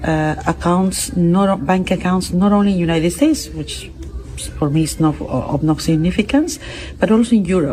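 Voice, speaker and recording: A woman speaks with a Spanish accent at a moderate pace. Noticeable background noise is present. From Peru. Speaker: international court judge. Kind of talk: interview. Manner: halting, many fillers and repetitions.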